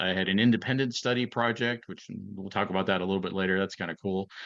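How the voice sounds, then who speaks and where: Against a quiet background, a man with an Ohio accent speaks at a fairly low pitch with ordinary pitch variation. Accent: Midwestern American (Ohio). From northeastern Ohio, near Youngstown. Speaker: retired FBI agent. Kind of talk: interview conversation. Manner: halting, many fillers and repeats.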